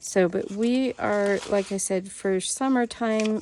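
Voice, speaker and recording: With an American accent and a dark, mellow tone, a woman speaks at a very slow pace with ordinary pitch variation. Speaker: homeschool vlogger. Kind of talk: curriculum flip-through review. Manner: casual with frequent fillers.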